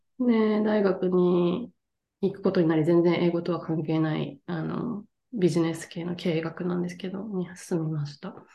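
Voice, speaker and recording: A woman with a plain, everyday voice talks at a moderate pace, her fairly low pitch following a fairly even intonation while her loudness swings a lot. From Japan, Tottori. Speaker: English coach. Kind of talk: casual interview.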